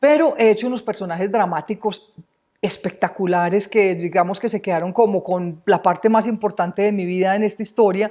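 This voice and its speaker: With a strong Antioquian accent, the speaker talks at a fairly quick pace in a dark, mellow tone with ordinary pitch variation. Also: woman, medium pitch for a woman. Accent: strong paisa. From Colombia, Medellín (paisa). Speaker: actress. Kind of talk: interview.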